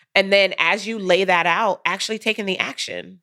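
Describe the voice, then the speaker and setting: A woman's normal speaking voice at medium pitch, with fairly even intonation. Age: 40s. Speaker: business coach. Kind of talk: casual chat; guided reflection.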